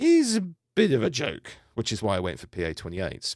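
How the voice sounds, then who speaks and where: Recorded very cleanly against a silent background, a man speaks with a British accent in a dry, close sound with no echo. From UK. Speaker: private pilot. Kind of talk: podcast talk on flight training.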